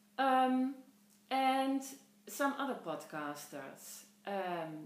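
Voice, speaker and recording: In a Dutch accent, a woman speaks with lively intonation amid audible room echo. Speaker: podcast host, knitter. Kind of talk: casual podcast monologue. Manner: halting, many fillers.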